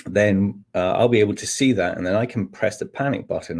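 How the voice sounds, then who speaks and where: A man speaks in a Scottish accent. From Scotland. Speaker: technical manager and trainer. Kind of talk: webinar presentation. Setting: online webinar. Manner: hesitant, many fillers.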